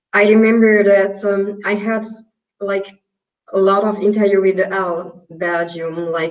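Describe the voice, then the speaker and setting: A woman with a Hungarian accent speaks at a fairly slow pace. Her intonation is monotone and flat. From Hungary. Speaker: yoga and pilates teacher. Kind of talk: interview.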